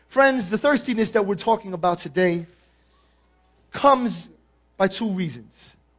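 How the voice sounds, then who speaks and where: A man with a New York accent talks at a fairly quick pace, his pitch swinging very widely. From New York, the Bronx. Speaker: guest preacher. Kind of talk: sermon. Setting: church.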